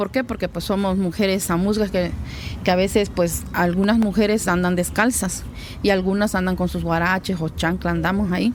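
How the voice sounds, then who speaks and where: Intonation stays fairly even while the speaker holds a moderate pace. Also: woman, medium pitch for a woman. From Mexico, Guerrero, Xochistlahuaca (Amuzgo community). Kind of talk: interview testimony. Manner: hesitant, with fillers.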